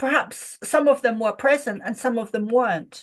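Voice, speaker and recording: With an English accent, a woman speaks in a high voice with fairly even intonation against a quiet background. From Ireland. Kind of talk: spiritual group discussion. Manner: halting.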